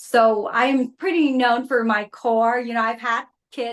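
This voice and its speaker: With a Vietnamese accent, a woman speaks at a fairly high pitch and with fairly even intonation. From Vietnam, moved to US at 14. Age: 50s. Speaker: reality TV contestant and Pilates instructor. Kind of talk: interview.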